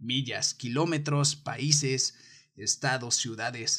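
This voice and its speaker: A somewhat breathy man with an animated tone, a fairly high pitch and ordinary pitch variation. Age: 20s. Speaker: podcast host. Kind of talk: casual monologue.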